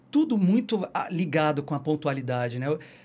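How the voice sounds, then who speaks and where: With lively intonation, a man speaks in a somewhat breathy voice at a fairly high pitch. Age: 30s. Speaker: journalist and tour guide. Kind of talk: casual chat. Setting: live stream, Brooklyn.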